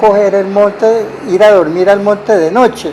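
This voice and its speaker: High-pitched man at a fairly slow pace, with ordinary pitch variation and noticeable background noise. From Tolima, Colombia. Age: 70s. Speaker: violence survivor. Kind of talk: oral history interview. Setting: at his home.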